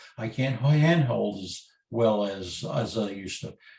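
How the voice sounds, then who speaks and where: A man's voice with vocal fry and lively intonation, heard with audible room echo. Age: 60s. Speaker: photographer, workshop presenter. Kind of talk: webinar lecture.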